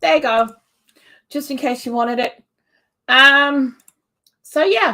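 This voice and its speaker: A raised, projected voice with a bright, sharp tone moves at a fairly slow pace with ordinary pitch variation. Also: woman, high pitch for a woman. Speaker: homesteading YouTuber. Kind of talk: casual live chat. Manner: stuttering, slurring; animated.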